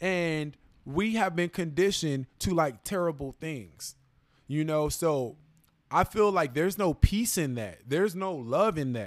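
Here a man speaks at a fairly slow pace, his pitch fairly high and his intonation lively. The recording is very clean, with a silent background. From Los Angeles, US. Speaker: plant-based wellness guest. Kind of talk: casual chat.

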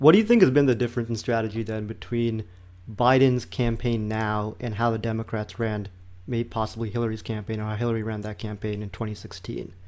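This man has an unremarkable speaking voice of medium pitch. He talks at a fairly quick pace with fairly even intonation. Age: 20s. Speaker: podcast host. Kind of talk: casual political chat.

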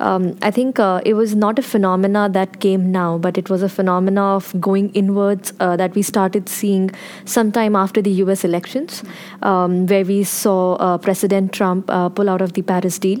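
At a moderate pace, a woman speaks at a medium pitch with flat, monotone intonation and very even loudness. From India. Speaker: policy researcher. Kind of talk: panel discussion.

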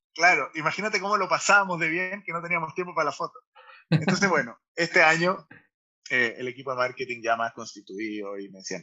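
Very wide pitch swings mark this man's voice. He speaks at a very fast pace. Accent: Chilean. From Chile. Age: 40s. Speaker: startup founder and CEO. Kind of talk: casual interview. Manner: halting, many repetitions and fillers.

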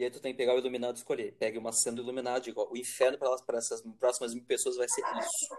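Noticeable background noise sits behind a man's voice. He talks at a very fast pace with hardly any pauses. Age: 40s. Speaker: teacher and podcast host. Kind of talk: casual conversation. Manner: halting.

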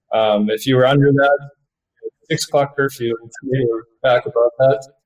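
The voice has a Canadian accent and monotone, flat intonation at a moderate pace. The sound is dry and close with no echo. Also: man. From Canada. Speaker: professional hockey player. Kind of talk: interview.

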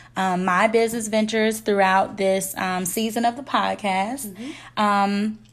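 A woman's fairly slow, monotone delivery in a Memphis accent, flat in intonation and very even in loudness. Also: medium pitch for a woman. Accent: Southern US, Memphis. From Memphis, Tennessee (US South). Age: young. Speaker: podcast co-host, entrepreneur. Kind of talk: casual chat.

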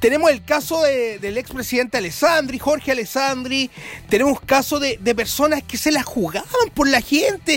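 Over noticeable background noise, a man speaks at a fairly slow pace with an extremely high pitch. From Chile, Rancagua. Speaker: radio host and journalist. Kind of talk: radio commentary monologue.

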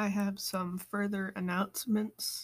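Somewhat breathy, a woman's voice comes through at a medium pitch. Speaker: podcast host. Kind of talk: casual podcast monologue. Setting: at home, quarantined.

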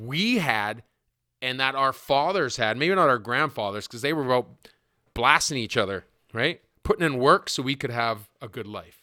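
A man's medium-pitched voice, bright and sharp in tone with lively intonation, in a very clean recording with a silent background. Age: 40s. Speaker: podcast host. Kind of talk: solo monologue.

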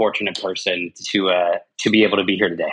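The speaker is a man with an American accent. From Colorado (Arvada, between Denver and Boulder). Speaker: company CEO and entrepreneur. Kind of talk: interview conversation. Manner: animated.

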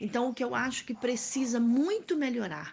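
A woman speaks in a fairly high voice. Her pace is fairly slow. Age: 50s. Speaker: women's rights activist, abuse survivor. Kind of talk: interview testimony.

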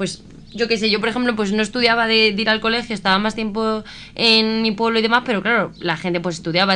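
A woman speaks very fast in a fairly high pitch, her tone bright, sharp and animated. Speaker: radio host. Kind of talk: casual chat.

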